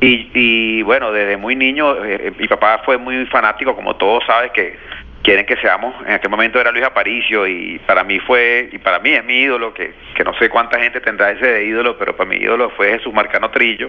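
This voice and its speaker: A man's medium-pitched voice at a fairly quick pace, fairly even in intonation, against noticeable background noise. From Venezuela, Caracas. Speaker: former basketball league executive. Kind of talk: interview.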